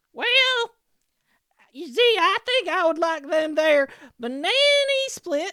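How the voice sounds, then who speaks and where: This is a put-on character voice pitched extremely high. It moves at a fairly slow pace with long, frequent pauses. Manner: put-on, folksy.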